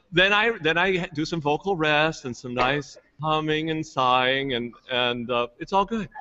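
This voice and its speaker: With hardly any pauses, a man speaks in an ordinary speaking voice, fairly high in pitch with ordinary pitch variation. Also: fairly slow pace. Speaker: choir singer, bass. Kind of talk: casual livestream chat.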